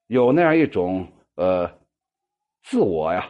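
Swinging very widely in pitch, a man talks at a fairly slow pace. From northern Shaanxi. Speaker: poetry group host and commentator. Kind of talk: monologue commentary on members' poems. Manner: many filler particles and hesitations.

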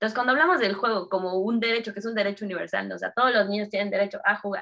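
Speaking in a Mexico City accent, a woman has a medium pitch and ordinary pitch variation. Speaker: entrepreneur, game designer. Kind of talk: casual interview chat.

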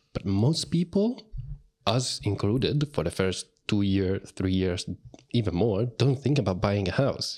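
A man with a normal speaking voice speaks at a fairly low pitch and a fairly slow pace. His intonation is lively and his loudness very even. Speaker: podcast host. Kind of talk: casual interview.

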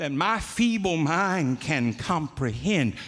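Very slow speech from a man with vocal fry and very wide pitch swings. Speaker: preacher. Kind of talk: sermon. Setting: church.

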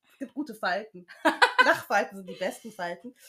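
A woman speaking at a moderate pace. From Germany, Düsseldorf (Rhineland). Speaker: podcast host. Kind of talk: casual chat.

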